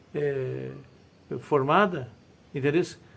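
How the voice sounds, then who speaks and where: A man talks over noticeable background noise. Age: 70s. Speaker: former mayor. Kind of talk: interview storytelling.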